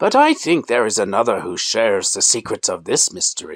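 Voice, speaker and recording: A man speaks in a put-on character voice. His pace is fairly quick. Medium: read story. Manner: grave, calm.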